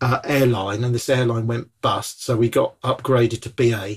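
Somewhat breathy, a man speaks with a southern English accent. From southern England, Bournemouth. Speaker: evangelist. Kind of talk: casual chat. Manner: animated.

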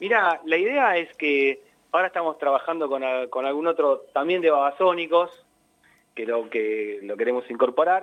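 A man with a normal speaking voice talks at a fairly high pitch with lively intonation. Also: moderate pace. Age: 40s. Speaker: tango musician. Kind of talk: interview.

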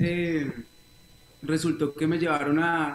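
Over noticeable background noise, a man talks at a fairly slow pace. His pitch is fairly high and his intonation is monotone and flat. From Colombia, Bogotá and Neiva (Huila). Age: 20s. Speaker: reggae singer. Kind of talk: interview.

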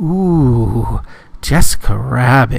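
A man speaks at a medium pitch in a put-on character voice. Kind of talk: casual, catcalling. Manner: leering, creepy.

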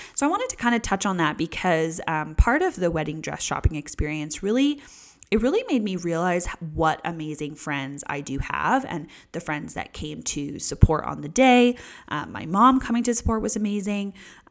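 In a very clean recording with a silent background, a woman speaks at a moderate pace in a relaxed tone, her pitch swinging very widely and her loudness rising and falling sharply. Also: fairly low pitch for a woman. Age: 20s. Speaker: podcast host. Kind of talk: casual solo chat. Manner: relaxed, frequent fillers and laughs.

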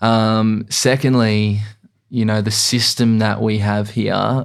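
The speaker has an Australian accent and monotone, flat intonation. The recording is very clean, with a silent background. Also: man. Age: 20s. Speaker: real estate agent. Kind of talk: casual chat. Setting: studio.

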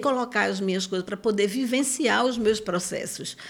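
This woman has an ordinary speaking voice at medium pitch with ordinary pitch variation. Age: 50s. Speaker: psychoanalyst and circus school director. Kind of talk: interview conversation.

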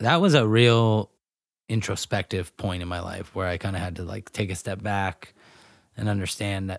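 Delivered at a moderate pace with fairly even intonation, the speech comes on a very clean recording with a silent background. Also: man. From Northern California, Grass Valley. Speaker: professional disc golfer. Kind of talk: casual interview. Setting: at home.

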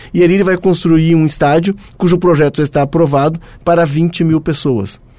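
Moving at a fairly quick pace, a man speaks at a fairly high pitch with a dark, mellow tone. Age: 50s. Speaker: football podcast host. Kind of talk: casual chat.

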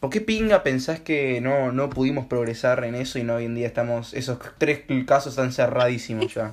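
A man's medium-pitched voice with a Rioplatense accent, ordinary pitch variation, a moderate pace and noticeable background noise. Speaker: amateur podcast host. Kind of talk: casual chat. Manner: animated.

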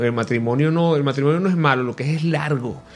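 Over music in the background, a man speaks in a fairly high voice. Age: 40s. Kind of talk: radio interview. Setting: radio studio.

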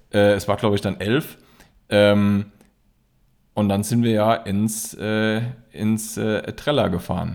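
On a very clean recording with a silent background, a man with a fairly low voice speaks very slowly in a flat monotone, pausing long and often. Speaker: podcast co-host. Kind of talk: casual chat. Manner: halting, many fillers and repetitions.

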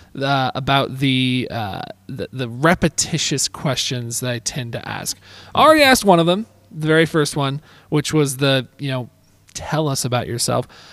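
An unremarkable speaking voice from a man with fairly high pitch and ordinary pitch variation, at a moderate pace, in a dry, close sound with no echo. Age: 20s. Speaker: admissions counselor and podcast host. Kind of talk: casual interview.

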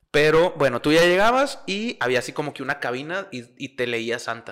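On a very clean recording with a silent background, a man with a Mexican accent speaks at a fairly high pitch. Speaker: podcast co-host. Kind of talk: casual chat. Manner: animated.

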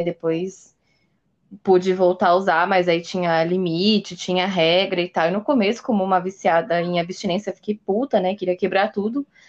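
Against a quiet background, a woman uses a normal speaking voice at medium pitch and a moderate pace. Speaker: podcast host. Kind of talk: casual chat.

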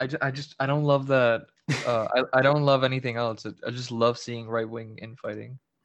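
With a Spanish accent, a man talks at a medium pitch and a fairly quick pace in a monotone, flat intonation. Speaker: social media account creator. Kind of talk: casual chat.

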